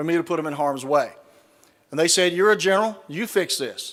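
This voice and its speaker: With a Southern US accent, the speaker talks at a very fast pace with ordinary pitch variation. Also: man. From US South. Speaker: retired army general, speaker. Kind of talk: keynote speech. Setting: stage with audience. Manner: folksy, humorous storytelling.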